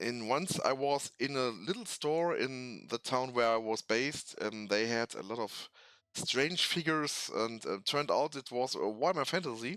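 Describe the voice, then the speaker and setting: A man talks with a German accent in a bright, sharp tone. His pitch variation is ordinary. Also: medium pitch for a man, moderate pace. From Germany. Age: 40s. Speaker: tabletop hobby youtuber. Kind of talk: casual hobby talk. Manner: halting, many fillers.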